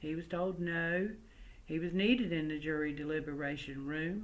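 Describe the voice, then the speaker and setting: A woman speaks with a slight Southern US accent at a fairly low pitch. Her pitch varies in an ordinary way, and room echo is audible. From West Virginia coalfields, Cabin Creek area. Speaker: family oral historian and storyteller. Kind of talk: oral history storytelling. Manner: conversational, folksy.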